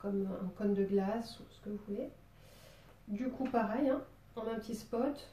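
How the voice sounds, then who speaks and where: A woman's fairly high voice at a fairly slow pace, broken by long, frequent pauses. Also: fairly even intonation. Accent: southern French. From southern France, Marseille. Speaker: drawing teacher. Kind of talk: tutorial. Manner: casual, hesitant with many fillers.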